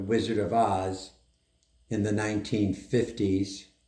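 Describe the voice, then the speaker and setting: Through audible room echo, a man speaks in a fairly low, somewhat breathy voice. His intonation stays fairly even. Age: 80s+. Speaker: doctor. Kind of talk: interview.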